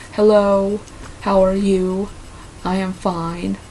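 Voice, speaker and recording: In an American accent and a monotone, flat intonation, a woman of medium pitch speaks amid noticeable background noise and audible room echo. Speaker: vlogger. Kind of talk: casual vlog, reading and answering quiz questions. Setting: talking to camera alone. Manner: hesitant, with fillers and false starts.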